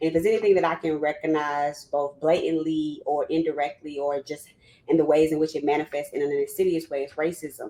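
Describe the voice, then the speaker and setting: Speaking at a fairly quick pace, a woman with a Southern US accent has a very deep, low pitch. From US South, Louisiana. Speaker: psychologist and former university counseling clinician. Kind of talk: panel discussion, personal testimony. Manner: animated, conversational.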